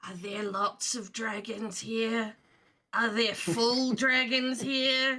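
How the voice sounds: A woman's put-on character voice, raspy and fairly high-pitched, at a very slow pace with big swings in loudness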